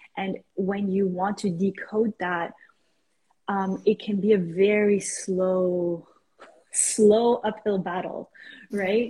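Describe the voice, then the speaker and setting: A woman's dark, mellow, somewhat breathy voice in a monotone, flat intonation, at a very slow pace with long, frequent pauses. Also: medium pitch for a woman. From Iran, raised in Canada. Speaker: life coach. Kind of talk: casual interview. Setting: video call.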